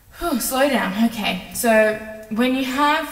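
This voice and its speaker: A woman at a fairly slow pace with ordinary pitch variation and audible room echo. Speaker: video editing tutorial creator. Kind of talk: tutorial. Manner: casual, filler-heavy.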